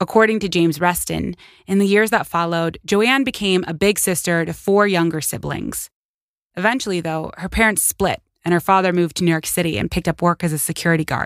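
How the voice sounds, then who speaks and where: In a very clean recording with a silent background, a woman talks at a fairly quick pace and a fairly low pitch. She has an ordinary speaking voice with ordinary pitch variation. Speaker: podcast host. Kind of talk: true-crime narration. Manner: measured, earnest storytelling; empathetic, conversational asides.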